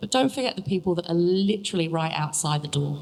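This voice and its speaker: A woman with an English accent, fairly low in pitch, at a very fast pace. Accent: English (Pommy). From England. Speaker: young grower competition contestant, packing manager. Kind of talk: panel Q&A answer.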